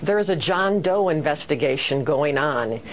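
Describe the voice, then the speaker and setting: Noticeable background noise is present throughout. The speaker's intonation is lively, moving at a moderate pace. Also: woman. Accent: American. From Wisconsin. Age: 60s. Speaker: political candidate. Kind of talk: TV news interview.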